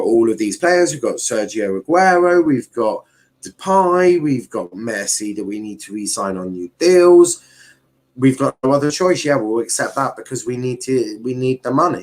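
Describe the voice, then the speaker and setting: With a strong southern English accent, a man speaks at a medium pitch and a moderate pace. His pitch swings very widely. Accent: thick Southern English. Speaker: football YouTuber. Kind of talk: live stream commentary. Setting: live stream. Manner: casual, repetitive, halting.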